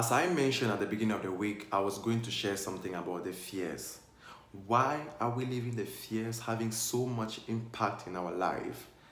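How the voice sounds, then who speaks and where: Over noticeable background noise, a man speaks at a fairly slow pace, with a medium pitch and ordinary pitch variation. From Cameroon. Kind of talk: casual talk to camera. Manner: upbeat.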